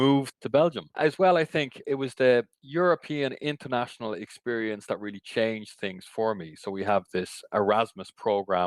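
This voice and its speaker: Lively intonation and an Irish accent carry this voice at a moderate pace with hardly any pauses. The sound is dry and close with no echo, on a very clean recording with a silent background. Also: man, medium pitch for a man. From Ireland. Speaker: cycling industry association CEO. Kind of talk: podcast interview.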